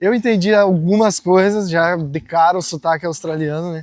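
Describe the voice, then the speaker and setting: A man with a normal speaking voice, ordinary pitch variation and a fairly slow pace, on a very clean recording with a silent background. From Brazil. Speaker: travel vlogger. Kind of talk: casual vlog talk. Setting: outdoors, walking.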